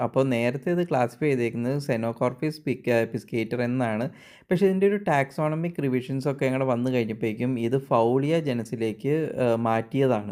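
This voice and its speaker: A man talks in an ordinary speaking voice at medium pitch with ordinary pitch variation. The recording is very clean, with a silent background. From Kerala, India. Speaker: wildlife documentary narrator. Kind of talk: nature documentary narration.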